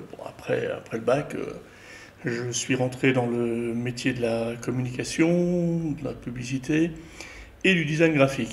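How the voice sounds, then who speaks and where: Somewhat breathy and at medium pitch, a man speaks at a fairly slow pace with ordinary pitch variation. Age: 60s. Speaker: retired graphic designer and filmmaker. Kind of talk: interview. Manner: hesitant, many fillers.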